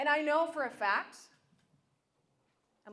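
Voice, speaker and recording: An upbeat woman at a fairly slow pace, with ordinary pitch variation. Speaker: motivational speaker. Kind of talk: live keynote speech. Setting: live event, audience in room. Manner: upbeat, encouraging.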